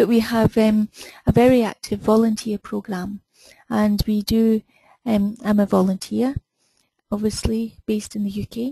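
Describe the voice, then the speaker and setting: In a Scottish accent, a woman with a fairly high pitch and a dark, mellow, somewhat breathy tone speaks at a moderate pace in a monotone, flat intonation, the sound dry and close with no echo. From Scotland. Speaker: webinar host, BI consultant. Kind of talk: webinar introduction.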